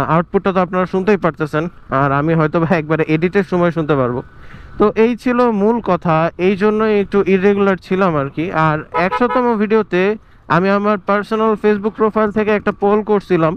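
With a high pitch, ordinary pitch variation and very even loudness, a man speaks. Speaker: moto vlogger. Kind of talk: vlog talk to camera.

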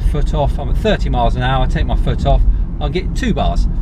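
At a moderate pace, a man speaks over noticeable background noise. The sound is dry, with no echo. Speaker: car reviewer. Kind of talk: casual vlog chat. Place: car. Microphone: phone near.

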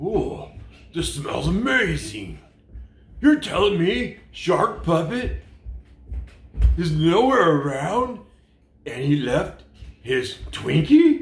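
A man puts on a cartoonish character voice, high in pitch and very slow, with long, frequent pauses. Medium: puppet show. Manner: gleeful, then disgusted and indignant.

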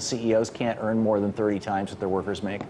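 A man talks at a fairly quick pace. Light background noise can be heard. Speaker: TV news host. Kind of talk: commentary. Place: studio. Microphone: lapel.

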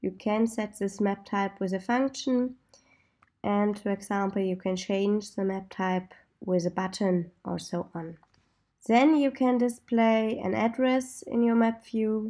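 In a German accent, a woman speaks fairly slowly at a medium pitch with ordinary pitch variation and a dark, mellow tone. The recording is very clean, the background silent. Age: 20s. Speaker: software developer. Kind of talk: tutorial.

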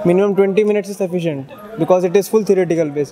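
Crowd noise fills the background as a man with a high-pitched voice speaks in a fairly even tone. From India. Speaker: engineering student. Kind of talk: feedback testimonial. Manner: halting. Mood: calm, matter-of-fact. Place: street. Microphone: handheld.

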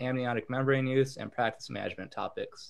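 The background stays quiet. A man's delivery is fairly quick in pace. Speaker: podcast host. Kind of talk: reading a guest introduction. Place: home room. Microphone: video call.

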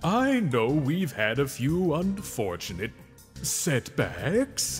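Clear music plays in the background as a man puts on a character voice. He talks very slowly at a fairly high pitch. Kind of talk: video game cutscene voice impression. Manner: nervous, pleading.

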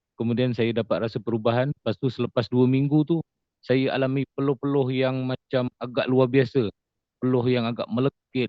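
The delivery is monotone, with flat intonation, at a moderate pace. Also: man. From Johor, Malaysia. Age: 40s. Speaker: stroke survivor and farmer. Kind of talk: testimony. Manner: halting, many fillers.

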